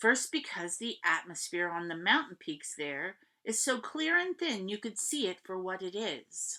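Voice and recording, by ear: The text is read aloud in a natural voice.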